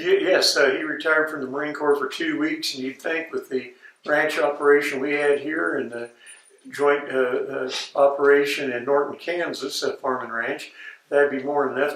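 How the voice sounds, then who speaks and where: A man with an American accent speaks at a moderate pace and a fairly high pitch, his intonation fairly even. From Colorado, Denver area. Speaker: ex-ranch worker. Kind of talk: oral history interview. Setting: interviewer's home, on video. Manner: halting, many fillers.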